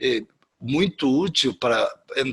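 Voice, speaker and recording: Captured with a dry, close sound and no echo, a man speaks in a bright, sharp tone at a fairly high pitch. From Spain. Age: 70s. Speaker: professor. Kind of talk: interview. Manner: halting, many repetitions.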